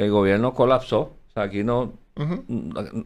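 Recorded very cleanly with a silent background, a man uses a plain, everyday voice, fairly low in pitch, with ordinary pitch variation. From Puerto Rico. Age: 60s. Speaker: former finance secretary and Senate candidate. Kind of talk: interview.

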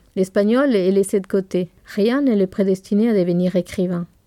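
A woman speaks with a Spanish accent and fairly even intonation. Her tone is dark and mellow. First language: Spanish (speaking French). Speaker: bookseller, podcast co-host.

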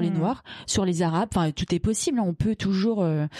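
With noticeable background noise, a woman talks at a moderate pace and ordinary pitch variation. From Paris region, France. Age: 40s. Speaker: feminist activist. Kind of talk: personal testimony. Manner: halting.

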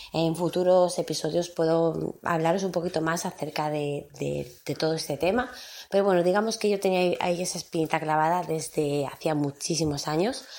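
On a very clean recording with a silent background, a woman speaks at a fairly low pitch and a moderate pace. She leaves hardly any pauses and shows ordinary pitch variation. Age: 30s. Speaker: podcast host. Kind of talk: casual monologue. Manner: hesitant, many fillers.

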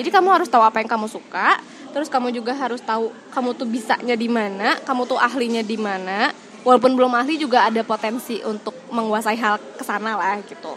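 A woman talks fairly quickly in a high voice, her pitch varying in an ordinary way. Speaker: podcast co-host and teacher. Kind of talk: casual chat.

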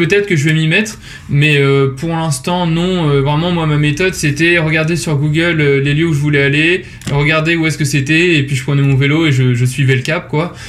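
Through audible room echo and noticeable background noise, a man speaks at a moderate pace with a fairly high pitch. His intonation is fairly even and his loudness very even. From Normandy, France (Rouen). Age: 20s. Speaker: business school student and startup founder. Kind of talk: podcast interview. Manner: hesitant, frequent repetitions and fillers.

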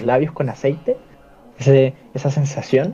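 Somewhat breathy with a dark, mellow tone, the voice moves at a fairly slow pace with fairly even intonation. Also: man. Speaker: podcast co-host. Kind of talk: casual chat.

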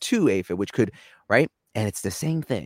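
A man speaks with a New York accent. The sound is dry and close, without echo. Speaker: cybersecurity executive. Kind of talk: casual interview. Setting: video call.

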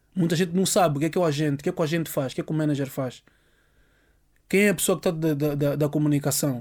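On a very clean recording with a silent background, a man talks at a very fast pace with fairly even intonation. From Angola. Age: 40s. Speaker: music producer. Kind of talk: interview. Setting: studio.

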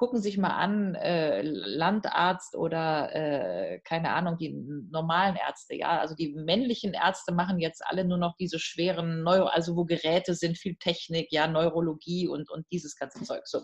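Her voice is fairly low for a woman, somewhat breathy, with fairly even intonation. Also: moderate pace. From Germany, North Rhine-Westphalia. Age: 50s. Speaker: professor of European politics. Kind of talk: interview. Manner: hesitant, many fillers.

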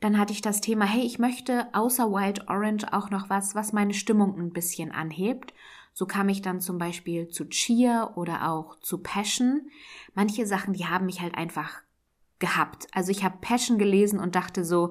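Heard in a very clean recording with a silent background, this is a normal speaking voice. The pace is moderate, with ordinary pitch variation. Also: woman. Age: 30s. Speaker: podcast host. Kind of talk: solo podcast monologue.

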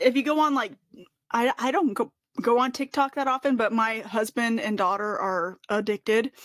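In a dry, close sound with no echo, a woman with an American accent speaks at a fairly high pitch and moderate pace, her pitch varying in an ordinary way. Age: 30s. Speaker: podcast host. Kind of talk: casual chat. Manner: animated.

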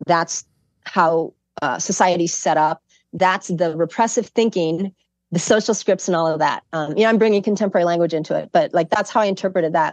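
A woman's ordinary speaking voice with an American accent, a fairly quick pace, ordinary pitch variation, and a quiet background. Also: fairly low pitch for a woman. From Chicago. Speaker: professor. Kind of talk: casual chat.

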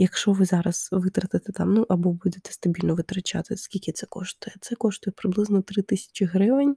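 Somewhat breathy, with a dark, mellow tone at medium pitch, a woman speaks at a moderate pace in a very clean recording with a silent background and a dry, close sound with no echo. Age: 20s. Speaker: podcast host. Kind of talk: casual monologue. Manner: hesitant, many fillers.

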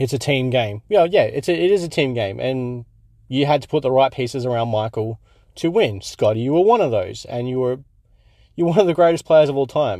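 A man with an Australian accent speaks at a fairly quick pace, his pitch medium and his intonation lively. His tone is dark and mellow, set against a quiet background. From Australia, Perth. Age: 30s. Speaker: podcast host. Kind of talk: casual solo podcast commentary. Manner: halting, many fillers.

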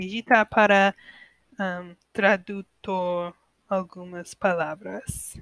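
Monotone, flat and very slow, the speech comes with an American accent and long, frequent pauses, in a dry, close sound with no echo. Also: woman, medium pitch for a woman. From United States. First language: English (speaking Portuguese). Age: 20s. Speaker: podcaster learning Portuguese. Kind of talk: language-learner monologue. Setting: at home alone. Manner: halting.

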